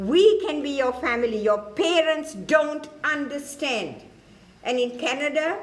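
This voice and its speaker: A high-pitched woman's voice with lively intonation, audible room echo and noticeable background noise. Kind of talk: talk to an audience. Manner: animated.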